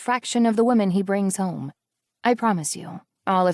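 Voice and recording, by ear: A quiet background and a natural voice reading aloud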